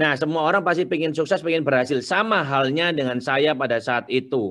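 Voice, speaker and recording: Against a quiet background, a man with a fairly high voice speaks with ordinary pitch variation and very even loudness. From Surabaya, East Java, Indonesia. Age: young. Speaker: entrepreneur, business founder. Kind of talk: webinar talk, personal life story.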